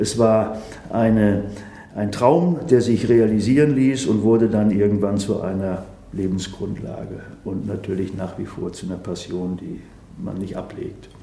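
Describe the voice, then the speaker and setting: With audible room echo, a man speaks at a fairly slow pace and a fairly low pitch, with ordinary pitch variation and big swings in loudness. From Sauerland, Germany. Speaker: horse trainer. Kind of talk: interview.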